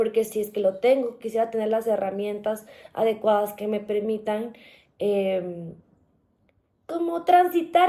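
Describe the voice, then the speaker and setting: Lively intonation and a dark, mellow tone come through on a very clean recording with a silent background. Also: woman. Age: 30s. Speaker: journalist, podcast guest. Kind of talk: interview, personal testimony. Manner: hesitant, many fillers and restarts.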